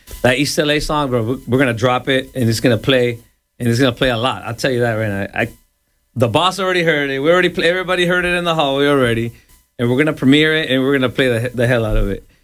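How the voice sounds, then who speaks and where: A man speaks very fast. Behind him, music is playing. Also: medium pitch for a man, ordinary pitch variation. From El Salvador, moved to Los Angeles at 11. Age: 40s. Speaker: radio DJ. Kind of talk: casual interview. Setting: radio studio.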